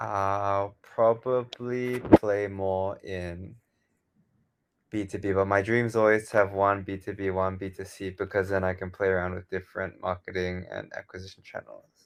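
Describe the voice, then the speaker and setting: A man with an Australian accent, fairly low pitch and monotone, flat intonation at a moderate pace, with big swings in loudness. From Australia, Sydney. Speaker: software founder. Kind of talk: interview.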